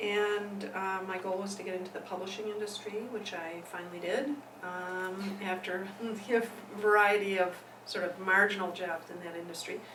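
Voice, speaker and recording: Over noticeable background noise, a woman with an Upper Midwest accent talks at a moderate pace and medium pitch in a monotone, flat intonation. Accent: Upper Midwest American. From Milwaukee, Wisconsin. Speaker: women's rights activist, nonprofit executive director. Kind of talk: interview answer.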